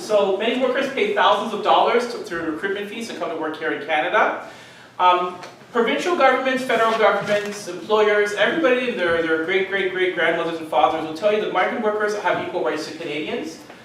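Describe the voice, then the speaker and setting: A man talks at a fairly quick pace in a high pitch with lively intonation. Noticeable background noise and audible room echo surround him. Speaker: migrant worker organizer. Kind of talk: panel talk. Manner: fast.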